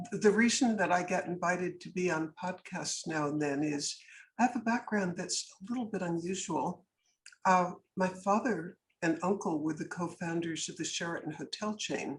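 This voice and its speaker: The speech moves at a moderate pace and sounds somewhat breathy on a very clean recording with a silent background. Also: woman, fairly low pitch for a woman, ordinary pitch variation. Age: 80s+. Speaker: businesswoman and anti-trafficking advocate. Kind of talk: podcast interview. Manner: animated.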